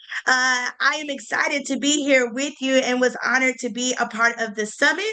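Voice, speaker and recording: A woman with a Southern US accent projects her voice at a high pitch and a fairly quick pace, with fairly even intonation, over noticeable background noise. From US South, Greensboro, North Carolina. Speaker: event planner. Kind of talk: online panel discussion.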